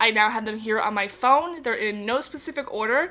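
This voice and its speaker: Through noticeable background noise, a woman with an American accent talks at a fairly quick pace, her fairly high pitch varying in an ordinary way. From Connecticut, US. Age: 20s. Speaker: parenting vlogger. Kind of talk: casual Q&A chat to camera. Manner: chatty, relaxed.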